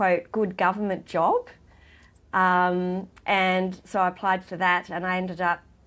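A woman at medium pitch with an Australian accent, on a very clean recording with a silent background. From rural New South Wales, Australia. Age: 50s. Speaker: charity worker and former client. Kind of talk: interview.

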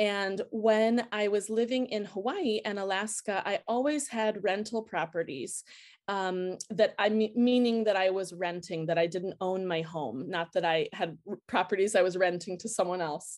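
A woman speaks in a plain, everyday voice with an American accent, at a medium pitch and moderate pace. Her pitch variation is ordinary, and the recording is very clean with a silent background. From United States. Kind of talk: interview.

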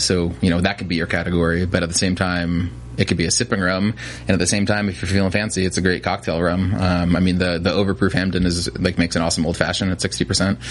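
Very deep and low in pitch, a man with an American accent talks at a very fast pace with ordinary pitch variation. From New Jersey. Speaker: spirits distributor salesperson. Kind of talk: casual interview. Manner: hesitant, many fillers.

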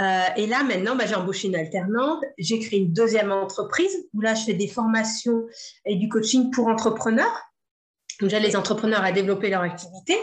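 Fairly high and somewhat breathy, a woman's energetic voice moves at a moderate pace with ordinary pitch variation. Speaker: entrepreneur, former sports teacher. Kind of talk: interview.

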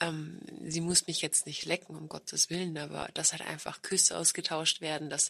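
A woman speaks at a fairly slow pace in a bright, sharp tone, her flat, monotone delivery edged with vocal fry. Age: 30s. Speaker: podcast host. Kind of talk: casual chat.

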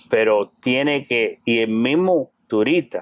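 The man talks at a medium pitch. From Cuba. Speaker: clothing store owner. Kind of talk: interview.

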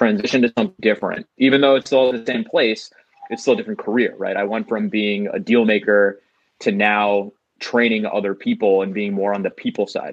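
A man with a New York accent rattles along at a very fast pace, his pitch fairly low and his intonation fairly even. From New York, Queens. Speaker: comedian. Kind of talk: casual chat.

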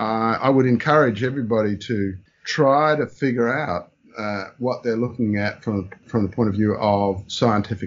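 Speaking fairly slowly, a man has an Australian accent. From Brisbane, Australia. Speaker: taxonomist and spider expert. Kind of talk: interview.

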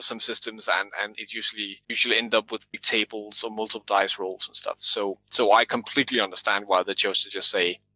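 A man speaks at a medium pitch with a Danish accent. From Denmark. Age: 30s. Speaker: game designer and author. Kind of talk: interview about game design.

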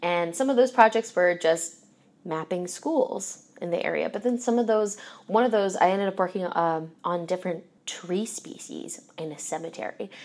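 An ordinary speaking voice with an American accent, at a moderate pace, with ordinary pitch variation. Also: woman, medium pitch for a woman. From US Northeast, Philadelphia. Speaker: zoo educator. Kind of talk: interview.

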